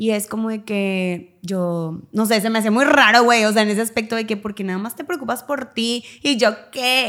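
A woman with a plain, everyday voice speaks at a fairly high pitch and a moderate pace, with ordinary pitch variation and hardly any pauses. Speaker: podcast co-host. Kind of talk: casual chat.

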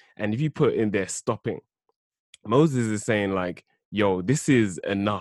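A man with a London accent speaks at a moderate pace in a fairly low pitch with ordinary pitch variation, recorded dry and close with no echo against a quiet background. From South London. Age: 20s. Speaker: theology student. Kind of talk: bible study discussion.

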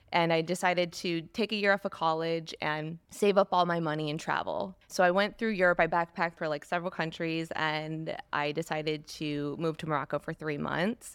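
In an American accent, a woman with a fairly low pitch speaks at a moderate pace with fairly even intonation and hardly any pauses, on a very clean recording with a silent background. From US Midwest, East Lansing, Michigan. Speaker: fashion entrepreneur. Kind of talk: interview testimony.

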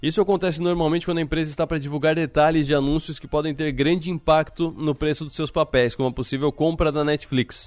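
On a very clean recording with a silent background, a man with a fairly high pitch talks at a very fast pace with hardly any pauses and fairly even intonation. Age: 30s. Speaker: radio host. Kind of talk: radio news program.

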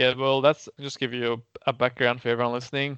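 A medium-pitched man with an Australian accent in a flat monotone, with a dry, close sound with no echo and a quiet background. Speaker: podcast co-host. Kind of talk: casual chat.

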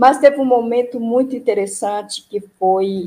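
A woman's voice with ordinary pitch variation. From Brazil, Ceará. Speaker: retired union administrative secretary. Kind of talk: interview, personal memories. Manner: halting, many fillers.

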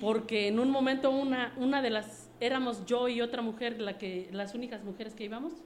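With audible room echo, a woman talks at a fairly quick pace in a fairly high pitch, keeping her intonation fairly even and hardly pausing at all. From Mexico City. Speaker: network marketing distributor. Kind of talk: interview.

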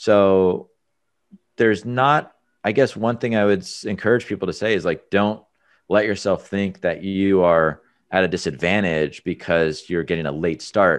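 Against a quiet background, a man speaks at a moderate pace in a fairly low pitch with ordinary pitch variation, in a normal speaking voice. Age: 30s. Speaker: entrepreneur, business coach. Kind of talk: interview conversation. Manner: casual, conversational.

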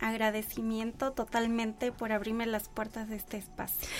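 Music plays in the background as a woman talks at a fairly slow pace. Her pitch is fairly high. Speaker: body-focused therapist. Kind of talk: radio interview. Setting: radio studio.

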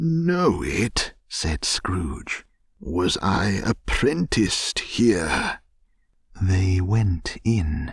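A man with a fairly low pitch speaks very slowly, somewhat breathy. His pitch swings very widely. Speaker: podcast narrator. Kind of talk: bedtime story reading, audiobook narration of a classic novel. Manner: gentle, soothing, slow and unhurried; calm, even, hushed storytelling pace.

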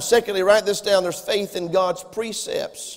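An American accent comes through. Delivery is at a fairly quick pace. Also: man. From US South. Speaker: pastor. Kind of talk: sermon. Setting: church.

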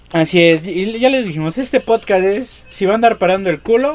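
A man speaks at a high pitch and fairly quick pace, with very wide pitch swings. Noticeable background noise runs underneath. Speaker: podcast co-host, comedian. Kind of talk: casual comedic chat.

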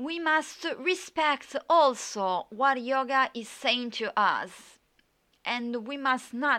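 In an Italian accent, a woman speaks at a very slow pace with a high pitch, a bright, sharp tone and ordinary pitch variation against a quiet background. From Italy. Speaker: podcast host and yoga teacher. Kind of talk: solo podcast monologue. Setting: home recording with USB microphone, background noise. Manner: halting, many fillers.

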